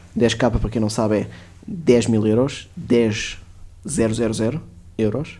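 In a dark, mellow tone, a man speaks at a medium pitch with ordinary pitch variation, at a very slow pace with long, frequent pauses. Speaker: podcast co-host. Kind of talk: casual chat.

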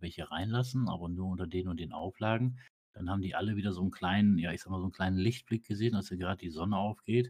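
Talking at a very fast pace, a man with a very deep, low pitch keeps his intonation fairly even. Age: 40s. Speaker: GTA roleplay gamer. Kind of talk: casual chat.

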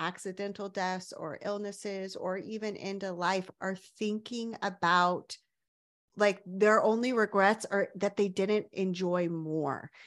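A woman with a plain, everyday voice speaks at a fairly slow pace and medium pitch. The recording is very clean, with a silent background. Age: 40s. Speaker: sex coach. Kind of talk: casual chat.

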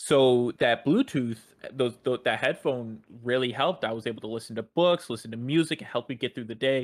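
Someone with a plain, everyday voice talks at a fairly quick pace with ordinary pitch variation. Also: man, medium pitch for a man. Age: 20s. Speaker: podcast co-host. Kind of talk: casual chat; testimony.

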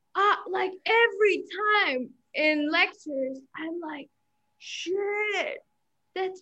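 A woman projects her raised voice at an extremely high pitch, bright and sharp in tone, speaking very slowly with lively intonation and big swings in loudness. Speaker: university student. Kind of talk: casual chat. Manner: halting.

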